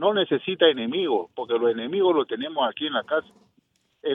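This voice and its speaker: A man's voice, high in pitch. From Peru. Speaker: caller. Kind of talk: phone-in rant. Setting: phone call.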